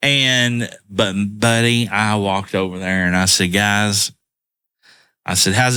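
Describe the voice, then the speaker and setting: The voice has a bright, sharp tone and a Southern US accent. It is recorded very cleanly against a silent background. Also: man. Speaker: podcast co-host. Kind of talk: casual chat. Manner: slow.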